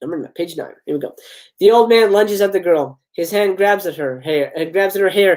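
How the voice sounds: Against a quiet background, someone reads in a natural reading voice.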